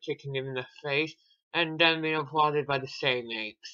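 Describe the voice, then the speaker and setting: A bored tone with monotone, flat intonation. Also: man. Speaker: movie reviewer. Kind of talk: commentary over film clips. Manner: sarcastic, bored tone.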